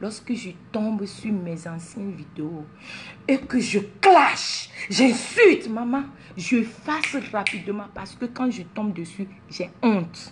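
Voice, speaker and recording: Against noticeable background noise, a woman speaks very slowly in a fairly high pitch with lively intonation. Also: big swings in loudness. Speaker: social media personality. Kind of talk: motivational talk to followers. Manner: animated, mixes French and English.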